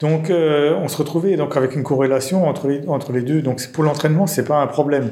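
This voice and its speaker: A man's fairly high-pitched voice at a fairly quick pace, with hardly any pauses and fairly even intonation, amid noticeable background noise and audible room echo. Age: 40s. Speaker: mathematician and software developer. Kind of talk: technical interview discussion.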